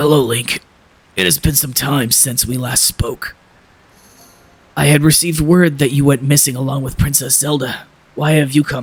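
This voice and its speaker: A man's put-on character voice, raspy and fairly high, with fairly even intonation, a moderate pace and long, frequent pauses. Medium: game stream. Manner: stately, gracious.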